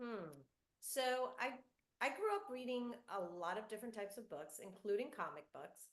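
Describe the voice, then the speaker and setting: A woman's normal speaking voice with lively intonation. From US South, North Florida, Cuban-American family. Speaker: children's book author. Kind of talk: author Q&A with school students.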